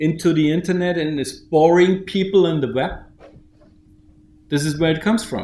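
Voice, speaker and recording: Audible room echo surrounds a man's voice. His pitch is high and his intonation fairly even. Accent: German. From Germany. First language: German. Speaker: bank founder and CEO. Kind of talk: conference keynote. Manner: halting, with many repetitions.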